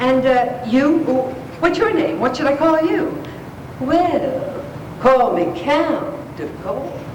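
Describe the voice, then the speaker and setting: A woman's high-pitched, lively voice at a very slow pace, broken by long, frequent pauses, over noticeable background noise. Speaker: actress. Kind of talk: live story reading to an audience. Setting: live event hall.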